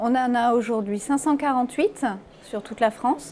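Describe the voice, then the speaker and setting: A woman with a high pitch talks at a moderate pace. The pitch varies in an ordinary way. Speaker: local politician. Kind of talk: interview answer.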